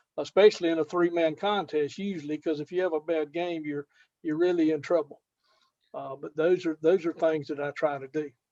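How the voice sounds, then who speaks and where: A man speaks at a fairly high pitch and a fairly quick pace, with fairly even intonation. His tone is dark and mellow, and the sound is dry and close with no echo. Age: 70s. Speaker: fantasy sports contest winner. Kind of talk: casual interview. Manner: halting, many fillers.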